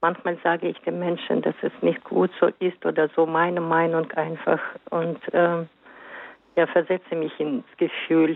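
The speech is very slow. Its intonation is monotone and flat. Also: woman, fairly low pitch for a woman. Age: 60s. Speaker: caller. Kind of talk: call-in testimony.

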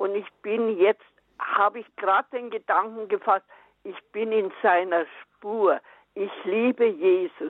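Her pitch medium and her intonation fairly even, a woman speaks at a very slow pace with big swings in loudness. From Upper Bavaria. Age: 80s. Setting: phone call.

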